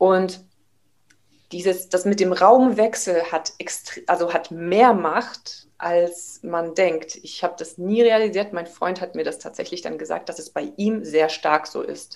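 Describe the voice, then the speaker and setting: A woman's fairly low-pitched voice at a very slow pace, with ordinary pitch variation and big swings in loudness. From Germany, Karlsruhe (Baden). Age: 30s. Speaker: taekwondo trainer. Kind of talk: casual interview. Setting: video call.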